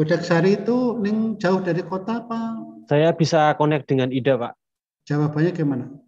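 Faint music plays behind a man with a high pitch. He speaks at a moderate pace with lively intonation. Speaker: instructor. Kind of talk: lecture. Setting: video call. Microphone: video call.

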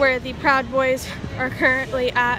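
A woman's raised, projected voice against noticeable background noise. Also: dry sound with no echo. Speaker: newspaper reporter. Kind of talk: live field report. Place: street. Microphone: phone near.

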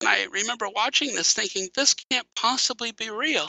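With an American accent, a man speaks at an extremely high pitch and a moderate pace, making very wide pitch swings. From Wisconsin, US Midwest. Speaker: physics professor. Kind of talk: casual interview.

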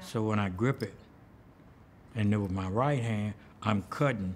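Amid light background noise, a man with a Southern US accent speaks at a fairly slow pace in a fairly low pitch with ordinary pitch variation. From US South (Birmingham, Alabama). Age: 70s. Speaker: artist and musician. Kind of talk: interview. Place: hall.

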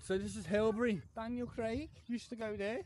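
At a moderate pace, a man speaks in a dry sound with no echo over light background noise. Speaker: cycling vlogger. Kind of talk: casual vlog chat. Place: street. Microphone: phone near.

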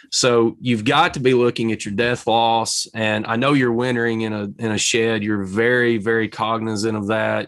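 A man at a fairly slow pace, monotone and flat in intonation, over a quiet background. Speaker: beekeeper in an interview. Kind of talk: interview discussion. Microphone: webcam.

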